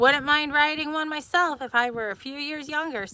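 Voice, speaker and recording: A woman's put-on character voice, high in pitch, at a moderate pace. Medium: read story.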